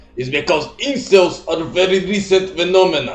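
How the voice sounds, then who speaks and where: With audible room echo and noticeable background noise, a man talks at a high pitch. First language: not English. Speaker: YouTuber doing reaction video. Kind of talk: reaction commentary.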